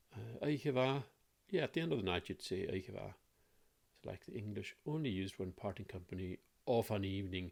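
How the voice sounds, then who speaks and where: A man with a Hebridean accent, fairly low pitch, lively intonation and a fairly quick pace, on a very clean recording with a silent background. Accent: Lewis. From Scotland, Isle of Lewis (Ness). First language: Scottish Gaelic. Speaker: language teacher. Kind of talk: tutorial. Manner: casual, hesitant with fillers.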